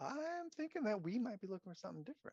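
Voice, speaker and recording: A man rattles off lines at a very fast pace in a high-pitched put-on character voice. His pitch swings very widely, and the sound is dry and close with no echo. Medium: actual play. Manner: casual, dismissive.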